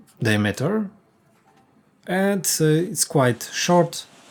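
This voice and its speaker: In a Polish accent, a man speaks at a very slow pace. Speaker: woodworker. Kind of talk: workshop tutorial. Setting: workshop. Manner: halting, many fillers.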